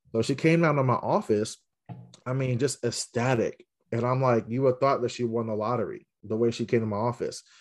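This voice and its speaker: A man with an American accent speaks in a normal speaking voice at medium pitch, at a fairly quick pace and with fairly even intonation, over a quiet background. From Central Virginia. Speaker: assistant principal. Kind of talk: casual interview chat.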